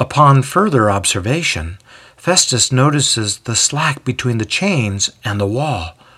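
The voice reads aloud. It is unforced.

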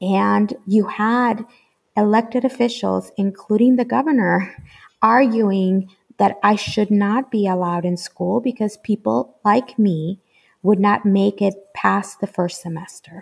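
A woman's somewhat breathy voice with a Spanish accent, medium in pitch with ordinary pitch variation, at a fairly slow pace. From Mexico, Guadalajara. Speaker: school network executive. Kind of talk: interview. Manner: hesitant, many fillers.

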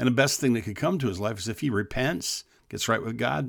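In a very clean recording with a silent background, a man with a normal speaking voice talks at a moderate pace and medium pitch, with lively intonation. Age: 60s. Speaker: pastor and podcast host. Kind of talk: devotional talk to men. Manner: earnest, repetitive with restarts.

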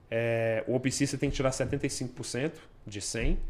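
The man talks very slowly, his medium-pitched voice showing ordinary pitch variation. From Brasília, Brazil. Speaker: police officer. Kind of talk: interview.

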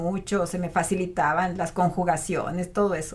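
A woman is speaking. Her pace is fairly slow. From Mexico, Matehuala, San Luis Potosí. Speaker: otolaryngologist. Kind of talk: interview.

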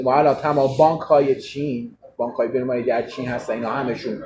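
A man talks very fast in a fairly high voice, his intonation fairly even, with noticeable background noise behind him. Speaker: political commentator. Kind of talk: heated debate.

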